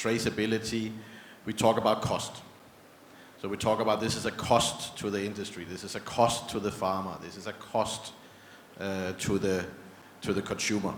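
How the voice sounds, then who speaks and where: Using a Danish accent, a man speaks at a moderate pace and fairly low pitch with monotone, flat intonation and long, frequent pauses. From Denmark. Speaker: panel moderator. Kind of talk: panel discussion.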